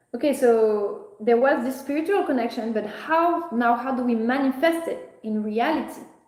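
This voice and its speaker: A woman speaks loudly in a French accent, her high voice lively in intonation, keeping a moderate pace with hardly any pauses. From France. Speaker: spiritual content creator. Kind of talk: live stream monologue. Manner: halting.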